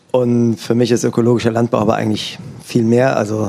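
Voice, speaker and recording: A man of medium pitch is heard against noticeable background noise. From Germany, Eifel near Luxembourg border. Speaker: organic farmer. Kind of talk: interview before live audience.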